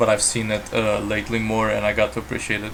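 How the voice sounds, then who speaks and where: Over noticeable background noise, a man with a Romanian accent talks at medium pitch and a fairly quick pace. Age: 20s. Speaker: gaming streamer. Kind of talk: live stream gameplay chat. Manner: hesitant, many fillers. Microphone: built-in laptop mic.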